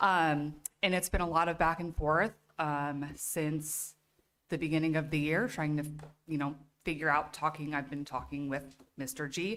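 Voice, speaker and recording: A woman with a shaky, very deep voice speaks at a moderate pace with fairly even intonation, captured in a very clean recording against a silent background. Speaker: parent speaking at public comment. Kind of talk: public comment at school board meeting. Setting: school committee meeting, public comment. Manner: halting.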